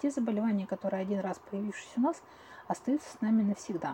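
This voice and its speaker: A woman's medium-pitched voice at a very fast pace over noticeable background noise. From Russia, Tyumen. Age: 40s. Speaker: clinical psychologist. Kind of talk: interview.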